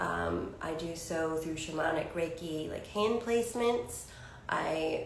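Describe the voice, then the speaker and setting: There is noticeable background noise and audible room echo. A woman talks with ordinary pitch variation. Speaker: psychic channel and spiritual healer. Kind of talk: channeled spiritual monologue. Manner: rambling, with frequent fillers.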